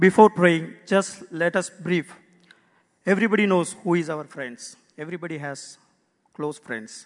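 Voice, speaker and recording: This man has a high pitch and ordinary pitch variation. He talks at a fairly slow pace. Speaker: prayer leader. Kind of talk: group prayer. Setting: church.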